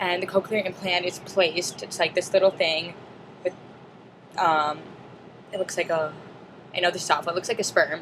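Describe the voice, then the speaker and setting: Speaking at a moderate pace with long, frequent pauses, a woman uses a fairly low pitch and monotone, flat intonation. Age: 20s. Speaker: student; deaf cochlear implant recipient. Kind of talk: casual video log talk to camera.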